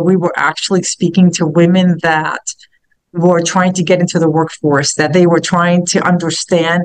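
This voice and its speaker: A woman is speaking. She has a New York accent. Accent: New York area. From Hoboken, New Jersey, US. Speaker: business founder and CEO. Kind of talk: casual talk in a virtual meetup. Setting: video call. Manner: halting, many fillers and repeated words.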